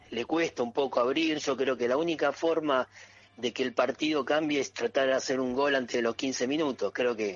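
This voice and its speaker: A man talks with an unremarkable speaking voice. His pace is moderate. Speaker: football supporters group member. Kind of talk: casual sports talk radio.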